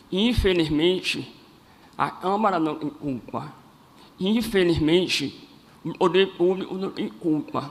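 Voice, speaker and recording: The speech moves at a very slow pace, broken by long, frequent pauses. Its intonation is lively. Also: man, high pitch for a man. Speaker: cleft palate advocate. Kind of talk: public speech.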